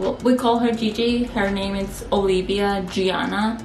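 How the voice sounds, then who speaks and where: A woman talks at a fairly slow pace with fairly even intonation. Noticeable background noise and audible room echo surround her voice. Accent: Spanish. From Spain (Castellón), born in Peru. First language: Spanish. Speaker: family vlogger. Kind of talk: casual chat.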